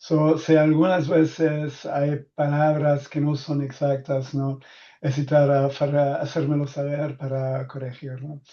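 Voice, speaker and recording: Speaking very slowly with a non-native accent, a man with a fairly high pitch and a dark, mellow tone keeps a monotone, flat intonation against a quiet background. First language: not Spanish (speaking Spanish). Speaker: data protection expert. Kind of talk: webinar presentation. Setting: online webinar. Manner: halting, many fillers.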